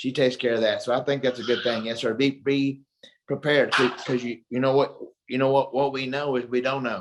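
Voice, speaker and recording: Talking at a fairly quick pace with a Texan accent, a man keeps a medium pitch in a monotone, flat intonation. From Texas (Mansfield). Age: 60s. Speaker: retired boxer and kickboxer. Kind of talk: interview.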